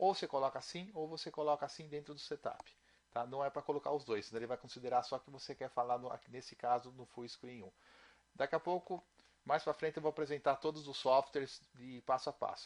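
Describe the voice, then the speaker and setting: A man speaks at a fairly quick pace with a fairly high pitch and a plain, everyday voice. His loudness swings widely. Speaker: programming instructor. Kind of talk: tutorial.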